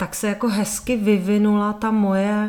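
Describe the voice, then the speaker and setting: A woman speaks at a fairly slow pace with a monotone, flat delivery. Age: 50s. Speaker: natural birth advocate and sex education lecturer. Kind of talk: interview.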